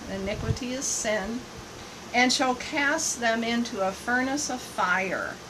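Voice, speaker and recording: Speaking at a very slow pace, a woman with a high pitch shows ordinary pitch variation over noticeable background noise. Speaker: missionary and live broadcaster. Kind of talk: live online broadcast answering viewer questions. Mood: earnest, preaching. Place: home room. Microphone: phone near.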